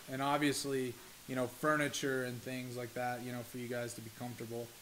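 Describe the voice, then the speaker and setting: A man speaks at a medium pitch and a fairly quick pace. His intonation is flat and monotone, and the room echo is audible. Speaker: esports team owner. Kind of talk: explainer monologue to camera. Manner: halting, stuttering. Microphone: poor recording quality.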